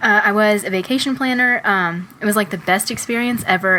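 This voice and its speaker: Against noticeable background noise, a woman's voice shows ordinary pitch variation. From Texas. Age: 20s. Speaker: podcast co-host. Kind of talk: casual chat.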